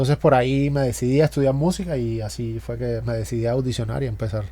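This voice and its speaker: Someone talks at a very fast pace in a Cuban accent. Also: man. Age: 40s. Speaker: drummer, music producer and university teacher. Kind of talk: casual interview.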